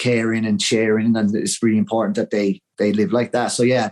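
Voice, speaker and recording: Speaking fairly quickly in an Irish accent, a man uses a dark, mellow, medium-pitched voice with fairly even intonation. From Ireland, Wexford. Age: 40s. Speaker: interview guest sharing mental health story. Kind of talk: interview testimony.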